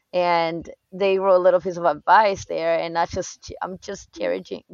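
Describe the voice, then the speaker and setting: This is a plain, everyday voice with fairly even intonation at a moderate pace. The sound is dry and close, with no echo. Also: woman. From outside the US. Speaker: book podcast guest. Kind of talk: casual chat.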